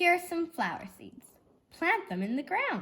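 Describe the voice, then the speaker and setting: Using a put-on character voice, a woman speaks at an extremely high pitch and a moderate pace. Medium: read story.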